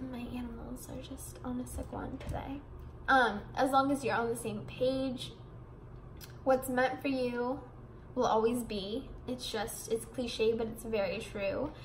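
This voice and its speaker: A woman's high-pitched voice at a fairly slow pace, fairly even in intonation, with big swings in loudness and audible room echo. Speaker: vlogger. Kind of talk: casual vlog monologue. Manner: rambling, mumbling.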